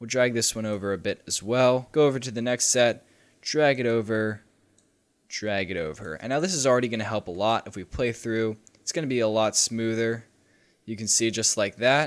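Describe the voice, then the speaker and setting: In a very clean recording with a silent background, a man with a plain, everyday voice talks at a moderate pace. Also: medium pitch for a man, ordinary pitch variation. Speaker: video editing tutorial youtuber. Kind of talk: tutorial.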